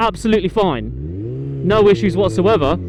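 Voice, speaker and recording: Against noticeable background noise, a man talks with a British accent. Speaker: motorcycle vlogger. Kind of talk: motovlog commentary while riding. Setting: riding a motorcycle outdoors. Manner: loud.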